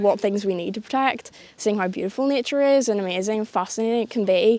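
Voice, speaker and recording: Talking at a fairly quick pace, a woman speaks with a Northern Irish accent. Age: young. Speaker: conservation volunteer. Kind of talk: interview.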